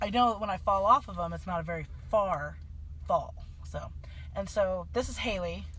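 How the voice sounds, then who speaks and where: With an American accent, a woman speaks with long, frequent pauses in a room with audible echo. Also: moderate pace. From Kansas. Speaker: podcast co-host. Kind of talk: casual chat.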